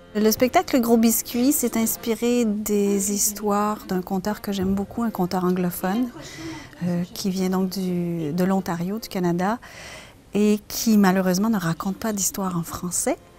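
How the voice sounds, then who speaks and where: Against noticeable background noise, a woman with a medium-pitched voice talks fairly slowly, her intonation fairly even. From Quebec, Canada. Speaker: storyteller. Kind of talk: interview answer.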